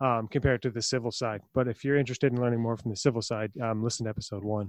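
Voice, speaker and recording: Speaking at a very fast pace, a man with a medium pitch uses a playful tone and ordinary pitch variation. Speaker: podcast co-host. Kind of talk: casual interview chat. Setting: remote recording. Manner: joking, playful.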